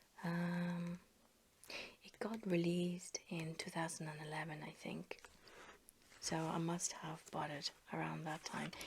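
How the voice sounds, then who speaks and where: Soft-spoken whispering with vocal fry, a relaxed tone and a fairly slow pace. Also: woman. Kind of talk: ASMR soft-spoken casual chat to camera while flipping a magazine. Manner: soft-spoken, whispery, relaxed.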